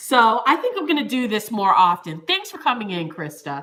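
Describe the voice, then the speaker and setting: Over noticeable background noise, a woman with an American accent speaks in an animated tone at a moderate pace. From Florida, US South. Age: 30s. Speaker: YouTuber, former news reporter. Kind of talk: live stream chat with viewers. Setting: home, on camera. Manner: animated, scattered.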